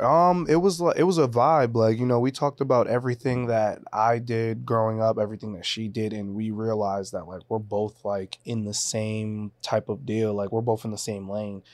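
A medium-pitched male voice at a moderate pace, with ordinary pitch variation and hardly any pauses. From Boston area, US (born in Haiti). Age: 20s. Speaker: social media influencer, reality TV contestant. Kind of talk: casual chat.

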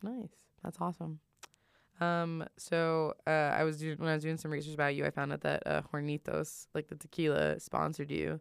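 A woman speaks at a moderate pace. The recording is very clean with a silent background and has a dry, close sound with no echo. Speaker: college radio host. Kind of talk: casual chat. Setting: studio.

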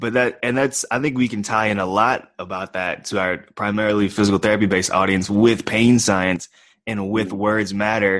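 On a very clean recording with a silent background, a man talks at a moderate pace and a fairly low pitch with fairly even intonation. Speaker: podcast host, physical therapy student. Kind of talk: casual podcast chat.

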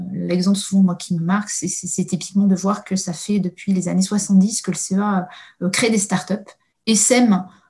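Somewhat breathy and medium in pitch, a woman talks at a fairly slow pace with a monotone, flat intonation. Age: 30s. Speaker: innovation adviser at a research agency. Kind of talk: interview. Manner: halting, many hesitations.

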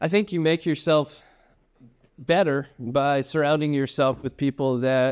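A man with an American accent and an unremarkable speaking voice, medium in pitch, with fairly even intonation and a quiet background. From upstate New York. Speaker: addiction treatment executive. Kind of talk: interview.

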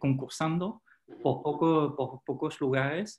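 A man with a French accent speaks at a fairly high pitch. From France. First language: French (speaking Spanish). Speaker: former hotel manager, education advisor. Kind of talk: interview.

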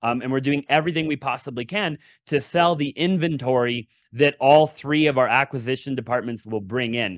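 A man talks at a fairly quick pace in a plain, everyday voice. The sound is dry and close with no echo, and his pitch varies in an ordinary way. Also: medium pitch for a man. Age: 20s. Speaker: real estate entrepreneur. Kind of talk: casual interview.

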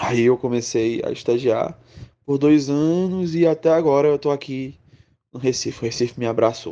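A dark, mellow tone with ordinary pitch variation at a moderate pace. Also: man, fairly high pitch for a man. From Pernambuco, Brazil (Zona da Mata Sul). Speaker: communications professional, former student. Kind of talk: interview testimony. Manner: casual, with repeated fillers.

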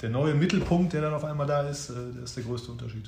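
A man's voice with audible room echo. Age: 30s. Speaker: father and advertising production manager. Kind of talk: interview. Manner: hesitant with many fillers.

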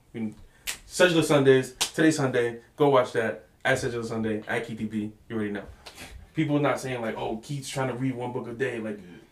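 Over noticeable background noise, a man with an American accent talks at a moderate pace and medium pitch. His intonation stays fairly even while his loudness swings widely. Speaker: podcast host. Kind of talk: casual chat.

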